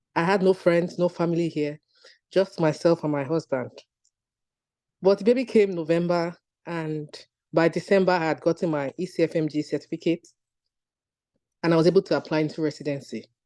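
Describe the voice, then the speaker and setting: A woman with a Nigerian accent, fairly low in pitch, in a dark, mellow tone with ordinary pitch variation and long, frequent pauses. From Nigeria (Lagos). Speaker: physician. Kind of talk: testimony.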